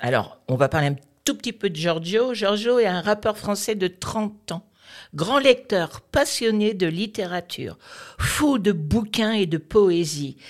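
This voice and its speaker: Over a silent background in a very clean recording, a woman talks at a very slow pace with a medium pitch, very wide pitch swings and vocal fry. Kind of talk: radio chronicle, introducing a poem.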